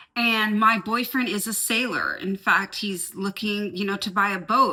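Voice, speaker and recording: A woman with a bright, sharp, animated tone, fairly high pitch and a fairly slow pace. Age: 50s. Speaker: lifestyle vlogger. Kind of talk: casual vlog talk to camera.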